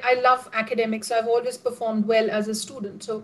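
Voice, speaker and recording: A woman speaks with an Indian accent. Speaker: professor. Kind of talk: casual interview. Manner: halting.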